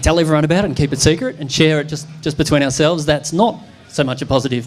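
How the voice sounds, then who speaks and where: Over noticeable background noise, a man speaks with a fairly high pitch and fairly even intonation. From not from Newcastle area. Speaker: startup community leader. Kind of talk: panel discussion. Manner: halting.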